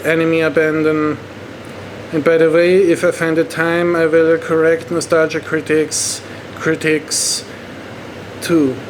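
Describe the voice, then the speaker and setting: A man with a German accent over noticeable background noise. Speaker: online movie reviewer. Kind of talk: movie review monologue. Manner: halting.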